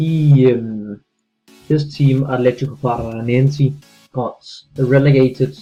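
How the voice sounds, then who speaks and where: With music in the background, a man speaks in fairly even intonation. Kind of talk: gaming commentary. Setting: low-quality microphone. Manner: hesitant, many filler words.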